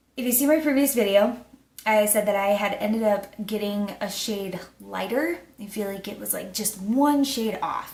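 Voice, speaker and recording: Amid noticeable background noise and audible room echo, a woman with a fairly high pitch talks at a moderate pace, showing ordinary pitch variation and big swings in loudness. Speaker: beauty vlogger. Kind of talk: casual product review. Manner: filler-heavy, casual.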